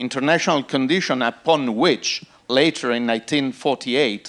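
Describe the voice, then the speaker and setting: A man speaks with an Italian accent. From Italy. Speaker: panel moderator. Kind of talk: conference panel introduction. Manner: halting.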